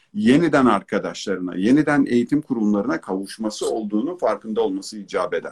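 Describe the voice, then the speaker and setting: This man has an ordinary speaking voice at a medium pitch. He talks at a fairly quick pace with lively intonation. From Turkey. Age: 40s. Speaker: educator, consultant and author. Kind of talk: online talk / interview. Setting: online live broadcast.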